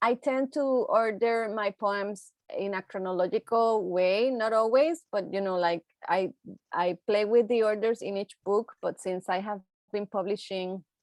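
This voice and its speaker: With a Puerto Rican accent, a woman speaks at a fairly high pitch with ordinary pitch variation over a quiet background. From Puerto Rico. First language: Spanish. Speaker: poet. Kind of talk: panel discussion. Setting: video call. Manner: halting.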